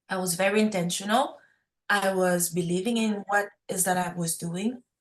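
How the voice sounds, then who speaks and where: A woman with a French accent speaks at medium pitch with fairly even intonation. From Quebec, Montreal. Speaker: food startup founder. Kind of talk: podcast interview.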